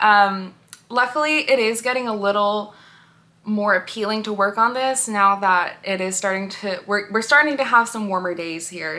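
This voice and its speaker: In an ordinary speaking voice, a woman talks at a moderate pace and a fairly high pitch with ordinary pitch variation. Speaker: knitting and crochet vlogger. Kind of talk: casual vlog chat. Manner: casual with many fillers.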